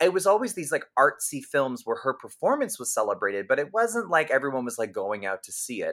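A man with a fairly high voice and vocal fry talks at a fairly quick pace, with very wide pitch swings and big swings in loudness. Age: 30s. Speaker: podcast host and comedian. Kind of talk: casual chat.

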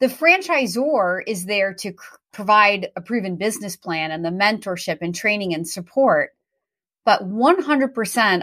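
This is an ordinary speaking voice from a woman, medium in pitch, with lively intonation and a moderate pace. The recording is very clean and the background silent. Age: 40s. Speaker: franchise consultant. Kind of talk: interview.

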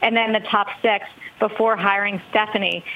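A fairly high-pitched woman at a moderate pace, with noticeable background noise. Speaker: business news anchor. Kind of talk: news report.

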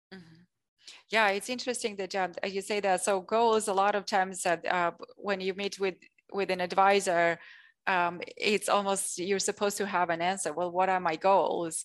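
Against a quiet background, a woman speaks with monotone, flat intonation. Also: medium pitch for a woman, moderate pace. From Armenia. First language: Armenian and Russian. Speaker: financial planner. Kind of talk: interview. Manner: hesitant with fillers.

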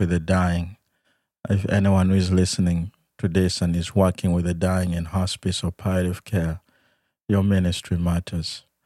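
A man's very deep, low, dark and mellow voice at a moderate pace, monotone and flat, in a dry, close recording with no echo and a very clean, silent background. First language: not English. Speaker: hospice chaplain, podcast host. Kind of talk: podcast interview. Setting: studio.

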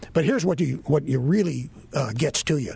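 A man with an American accent talks at a fairly quick pace in a fairly high pitch, his voice somewhat breathy and his pitch variation ordinary. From Florida (Miami). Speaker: retired radio host. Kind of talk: casual chat.

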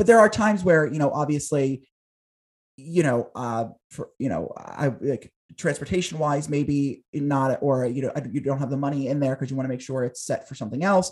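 A man with an American accent and an unremarkable speaking voice, fairly high pitch, ordinary pitch variation and moderate pace against a quiet background. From southern New Jersey, near Philadelphia. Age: 20s. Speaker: talk show host and producer. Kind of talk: interview conversation.

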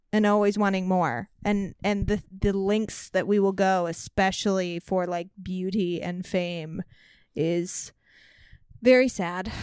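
At a very slow pace, a woman with a medium pitch speaks in a very clean recording with a silent background. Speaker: podcast host guest. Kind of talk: casual chat. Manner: animated.

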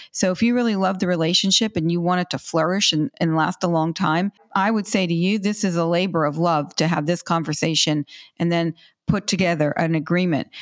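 A woman with a normal speaking voice, fairly low in pitch and fairly quick, with very even loudness, fairly even intonation, a quiet background and a dry, close sound with no echo. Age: 60s. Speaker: financial educator on money and relationships. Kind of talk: interview. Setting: remote call.

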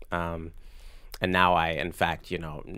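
A man with an American accent and a very deep, low pitch, in a very clean recording with a silent background. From US South, Virginia Beach. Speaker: composer and pianist. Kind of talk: casual interview. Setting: studio. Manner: halting.

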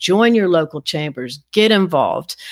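A woman's voice sits at a medium pitch, rising and falling in an ordinary way as she talks fairly quickly. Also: very clean recording, silent background. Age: 60s. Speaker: interior designer. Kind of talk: interview. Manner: animated.

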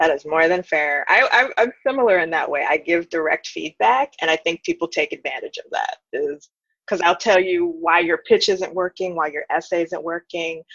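With an American accent and an unremarkable speaking voice, the speaker moves at a moderate pace with hardly any pauses and ordinary pitch variation, in a dry, close recording with no echo. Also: woman, fairly low pitch for a woman. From New York City, Queens. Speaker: author and editor. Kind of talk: interview.

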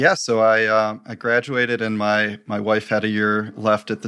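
A man with an American accent talks at a moderate pace in a fairly low pitch, his bright, sharp tone held to a flat monotone in a very clean recording with a silent background. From Michigan, US. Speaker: tech startup CEO. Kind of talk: interview.

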